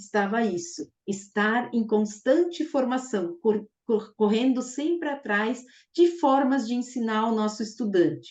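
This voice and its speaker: Her somewhat breathy, fairly high voice moves at a fairly slow pace with lively intonation and hardly any pauses. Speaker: math teacher trainer. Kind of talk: online teacher-training lecture. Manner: enthusiastic.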